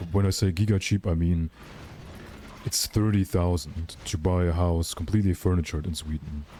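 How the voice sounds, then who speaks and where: A man with a German accent and a very deep, low voice at a moderate pace. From Germany. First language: Russian. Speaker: gaming streamer. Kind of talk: live stream chat. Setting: live stream. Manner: casual, animated.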